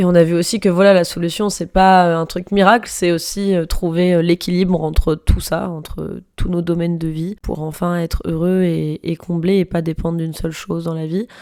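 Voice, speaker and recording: A woman with a fairly low, dark and mellow voice speaks at a moderate pace in a flat monotone, with hardly any pauses. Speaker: podcaster. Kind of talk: personal monologue podcast. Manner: casual, hesitant with many fillers.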